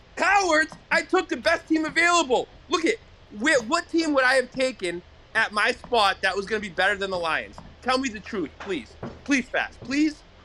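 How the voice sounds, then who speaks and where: A man uses a raised, projected voice at an extremely high pitch, with very wide pitch swings. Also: moderate pace. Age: 60s. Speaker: caller, league member. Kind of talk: banter, playful argument. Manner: animated.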